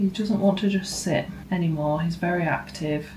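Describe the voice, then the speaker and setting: The speaker has a British accent and fairly even intonation. Noticeable background noise is present. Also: woman. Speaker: new mother. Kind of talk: casual family vlog talk to camera.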